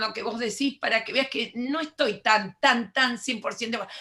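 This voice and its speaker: A woman's raised, projected voice with a bright, sharp tone. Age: 70s. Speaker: education lecturer. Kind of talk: lecture.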